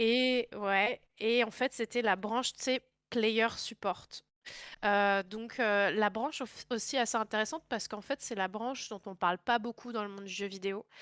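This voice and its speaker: Against a silent background in a very clean, dry and close recording with no echo, a woman speaks fairly slowly at a fairly high pitch with fairly even intonation. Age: 20s. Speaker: video game industry worker. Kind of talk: interview. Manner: hesitant with many fillers.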